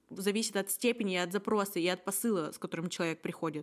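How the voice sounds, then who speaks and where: With ordinary pitch variation, a woman speaks at medium pitch in a normal speaking voice. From Russia, Yekaterinburg. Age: 20s. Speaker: podcast host. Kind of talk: casual chat.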